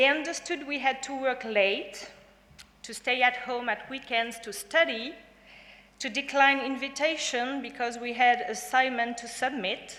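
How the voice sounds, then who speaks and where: A woman speaks fairly slowly in a high voice with a French accent. Her pitch varies in an ordinary way, and the room echo is audible. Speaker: graduating student, valedictorian. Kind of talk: valedictory speech. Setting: graduation ceremony hall with audience. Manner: formal.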